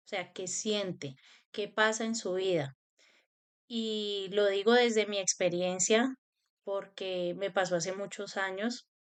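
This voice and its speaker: Against a quiet background, a woman speaks at a medium pitch with fairly even intonation. Her pace is very slow. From Colombia, Cali. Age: 30s. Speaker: spiritual self-help youtuber. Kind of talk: personal talk to camera.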